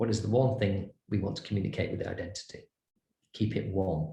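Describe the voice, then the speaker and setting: A man speaks in a somewhat breathy voice. Audible room echo is present. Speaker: branding and design consultant. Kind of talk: lecture. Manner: animated.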